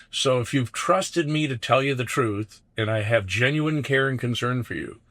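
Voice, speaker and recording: A man has an unremarkable speaking voice, with medium pitch and ordinary pitch variation at a moderate pace. The recording is very clean, with a silent background. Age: 60s. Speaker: business coach. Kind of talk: casual chat. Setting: in a van.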